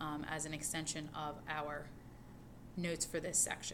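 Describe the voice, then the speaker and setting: A woman's voice with audible room echo. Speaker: high school math teacher. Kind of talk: recorded lecture notes tutorial. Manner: fast.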